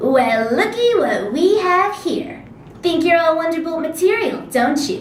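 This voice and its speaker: In a put-on character voice that sounds female, the speaker uses an extremely high pitch at a moderate pace, with a slight echo. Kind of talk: casual, sassy. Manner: cocky, teasing.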